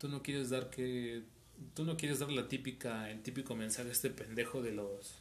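A man with a Mexican accent at a moderate pace, with fairly even intonation and audible room echo. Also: medium pitch for a man. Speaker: audio engineering student and musician. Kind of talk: casual chat.

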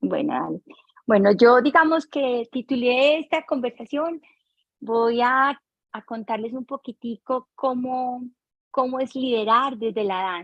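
Fairly slow delivery from a high-voiced woman, with ordinary pitch variation. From Colombia, Barrancabermeja. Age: 50s. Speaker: dance teacher and choreographer. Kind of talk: interview.

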